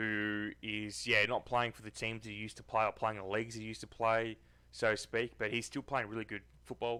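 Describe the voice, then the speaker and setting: Talking at a fairly quick pace in a strong Australian accent, a man has a bright, sharp tone, flat monotone intonation and big swings in loudness. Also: medium pitch for a man. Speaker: football commentary youtuber. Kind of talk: casual vlog commentary. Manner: casual with many fillers.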